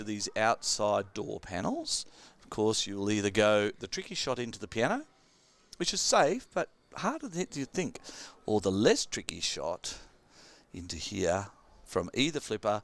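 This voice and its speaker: A man with an Australian accent at a moderate pace, with big swings in loudness. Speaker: pinball commentator. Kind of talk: live commentary.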